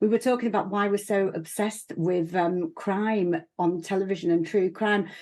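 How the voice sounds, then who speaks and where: A woman with a Yorkshire accent speaks at a moderate pace and a medium pitch, with fairly even intonation. Her loudness stays very even against a quiet background. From northern England, Leeds. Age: 50s. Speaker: broadcaster and former politician. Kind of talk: TV panel discussion. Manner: halting.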